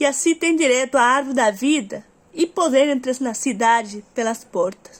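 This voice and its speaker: Speaking at a moderate pace in a Spanish accent, a woman has a high pitch and ordinary pitch variation. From Uruguay. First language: Spanish (speaking Portuguese). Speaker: Bible reader. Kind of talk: reading aloud; casual chat. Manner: halting.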